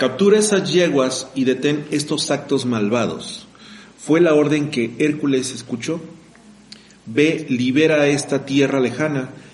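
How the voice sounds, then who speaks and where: Amid noticeable background noise and audible room echo, a man with a fairly high pitch speaks at a fairly slow pace with ordinary pitch variation. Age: 30s. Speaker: podcast host. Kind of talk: casual chat.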